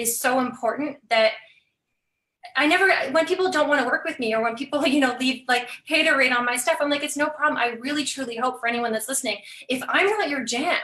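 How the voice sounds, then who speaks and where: The speaker's raised, projected voice has a bright, sharp, animated tone, moving at a fairly quick pace with ordinary pitch variation. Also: woman. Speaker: business coach. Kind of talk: casual chat. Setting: live video stream. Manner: fast.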